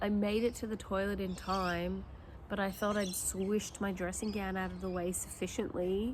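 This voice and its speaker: The speaker talks at a moderate pace in a monotone, flat delivery. The voice sounds somewhat breathy. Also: woman, medium pitch for a woman. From Australia. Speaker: mother of eleven, homeschooling parent. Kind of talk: casual talk to camera. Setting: outdoors.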